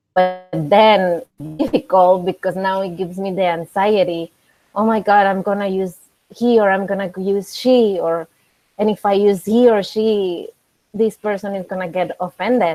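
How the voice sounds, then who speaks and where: A woman with a Spanish accent speaks at a moderate pace and medium pitch, her dark, mellow tone carrying fairly even intonation in a dry, close sound with no echo. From Mexico. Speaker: coffee professional. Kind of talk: casual chat. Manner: halting.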